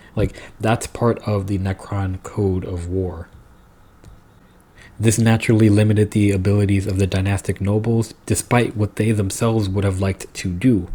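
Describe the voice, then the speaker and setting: Somewhat breathy, a man speaks at a moderate pace in a monotone, flat intonation. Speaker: lore video creator. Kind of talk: lore explainer monologue. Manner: casual with fillers and restarts.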